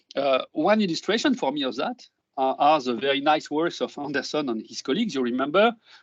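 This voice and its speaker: A man's fairly high voice with a French accent, fairly quick in pace, with very wide pitch swings. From France. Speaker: neuroscience professor. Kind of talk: lecture. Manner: halting.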